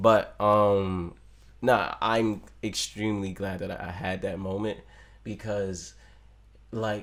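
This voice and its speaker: A man speaks in a plain, everyday voice. His pitch is fairly low and his intonation fairly even. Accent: American. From Maryland, US. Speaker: rapper. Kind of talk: casual interview chat.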